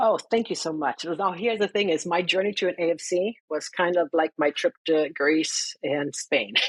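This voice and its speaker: With a German accent, a woman talks at a moderate pace in a fairly low pitch with ordinary pitch variation, and the sound is dry and close with no echo. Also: hardly any pauses. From Germany. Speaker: financial counselor and educator. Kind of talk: interview.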